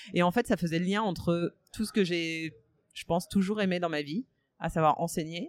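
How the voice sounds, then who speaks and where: A woman's fairly low voice, moderate pace and ordinary pitch variation, dry and close with no echo, on a very clean recording with a silent background. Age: 30s. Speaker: podcaster. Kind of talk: interview. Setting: café. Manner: hesitant, many fillers.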